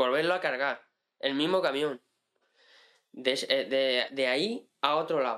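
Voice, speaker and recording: On a very clean recording with a silent background, a man speaks very slowly with long, frequent pauses. His tone is bright and sharp, with ordinary pitch variation. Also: very even loudness. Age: 20s. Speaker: farmer and hunter. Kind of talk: casual interview. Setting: in-person studio.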